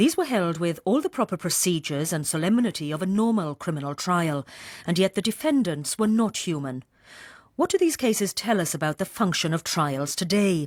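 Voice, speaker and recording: A woman's unremarkable speaking voice, medium in pitch, with lively intonation at a fairly quick pace, in a very clean, dry, close recording with no echo and a silent background. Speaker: radio announcer. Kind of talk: radio continuity announcement.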